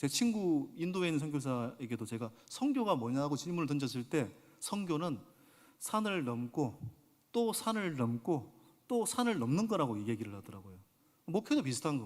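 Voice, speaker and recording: Speaking at a moderate pace, a man with a fairly high pitch makes very wide pitch swings and big swings in loudness. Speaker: senior pastor. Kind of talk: sermon. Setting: church service, live. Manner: addresses congregation directly, conversational.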